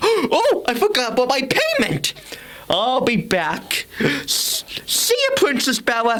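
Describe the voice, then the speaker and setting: A put-on character voice from a man, extremely high-pitched, at a fairly slow pace over light background noise. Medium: read story.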